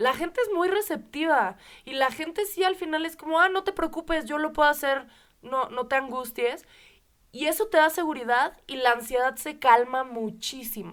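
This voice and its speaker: A Mexican accent carries an animated tone and lively intonation at a moderate pace. The recording is very clean, with a silent background. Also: woman, high pitch for a woman. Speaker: podcast co-host. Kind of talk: casual podcast conversation.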